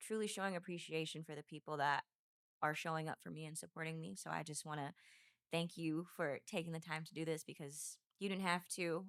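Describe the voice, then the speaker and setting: A woman speaks at a fairly quick pace with a very deep, low pitch and fairly even intonation, in a dry, close sound with no echo. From San Francisco Bay Area. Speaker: professional basketball player and league founder. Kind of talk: podcast interview.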